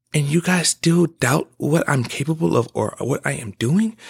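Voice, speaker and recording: Somewhat breathy speech with lively intonation at a fairly slow pace, in a dry, close sound with no echo. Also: man. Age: 20s. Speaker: podcast host. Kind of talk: casual monologue. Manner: animated.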